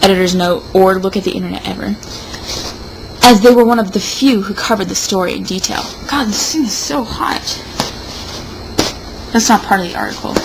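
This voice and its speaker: Over noticeable background noise, a woman of medium pitch speaks with ordinary pitch variation and long, frequent pauses. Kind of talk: comedic dramatic reading of an opinion piece.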